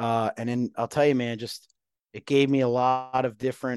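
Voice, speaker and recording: A man's medium-pitched voice with an American accent, flat and monotone, at a moderate pace, dry and close with no echo, over a quiet background. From New Jersey, Woodbridge. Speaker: fire service training chief. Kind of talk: interview conversation. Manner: halting, many fillers and repeats.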